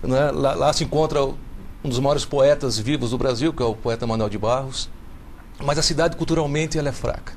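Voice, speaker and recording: With a normal speaking voice, a man talks at a moderate pace in a fairly high pitch, his pitch varying in an ordinary way. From Brazil, Minas Gerais (Belo Horizonte). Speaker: children's author and literature teacher. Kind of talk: TV talk show interview.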